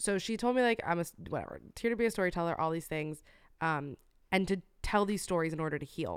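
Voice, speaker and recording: At a very fast pace, a woman speaks with a fairly low pitch and ordinary pitch variation. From US, Cuban-American family. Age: 20s. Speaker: podcast co-host. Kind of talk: casual chat. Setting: video call.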